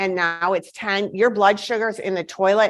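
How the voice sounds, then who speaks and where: A woman talks at a moderate pace with a medium pitch. The background is quiet. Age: 60s. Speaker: medical educator and lecturer. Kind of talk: lecture. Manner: halting, with many fillers and restarts.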